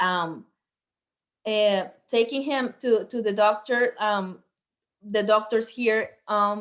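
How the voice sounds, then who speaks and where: With a strong Venezuelan accent, a woman speaks at a very slow pace with long, frequent pauses. Her voice is fairly high and her intonation fairly even. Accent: heavy Venezuelan Spanish. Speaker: medical doctor. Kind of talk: guest talk on video call.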